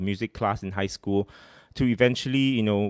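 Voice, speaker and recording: Fairly even intonation at a moderate pace against a quiet background. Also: man. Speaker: host of music talk series. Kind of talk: casual livestream talk. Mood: a bit nervous, friendly. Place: home room. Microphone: studio mic.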